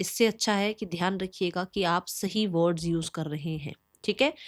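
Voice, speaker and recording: A woman with a plain, everyday voice speaks at a moderate pace with ordinary pitch variation on a very clean recording with a silent background. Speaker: tarot reader. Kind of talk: tarot reading monologue.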